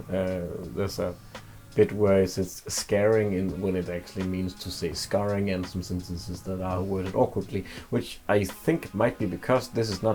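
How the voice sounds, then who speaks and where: A man speaks with music in the background. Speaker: YouTuber game reviewer. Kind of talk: casual game review.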